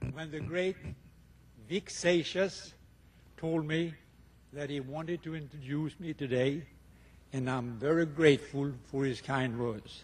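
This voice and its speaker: A man's fairly high, somewhat breathy voice with a Swedish accent, a fairly slow pace, ordinary pitch variation, and long, frequent pauses. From Sweden. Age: 70s. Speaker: retired tennis player, hall of fame inductee. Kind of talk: acceptance speech.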